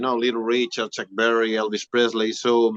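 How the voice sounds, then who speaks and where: With a strong Spanish accent, a man talks at a fairly quick pace in a dry, close sound with no echo. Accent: thick Spanish. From Spain. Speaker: rock singer-guitarist. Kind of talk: interview.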